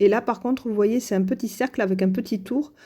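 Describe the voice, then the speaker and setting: Speaking at a moderate pace in a southern French accent, a woman has a dark, mellow tone and ordinary pitch variation. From southern France. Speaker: crafts youtuber. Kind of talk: tutorial. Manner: hesitant, many fillers.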